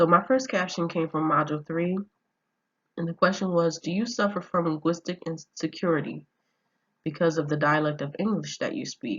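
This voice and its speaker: A woman's fairly low voice shows ordinary pitch variation at a moderate pace. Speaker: student. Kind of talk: class presentation. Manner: halting, with fillers.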